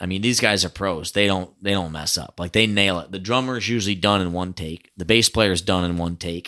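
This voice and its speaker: With an American accent, a man speaks at a fairly quick pace in a fairly low pitch and a bright, sharp tone. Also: very clean recording, silent background. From upstate New York (Hamilton, near Syracuse). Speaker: musician. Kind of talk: casual chat.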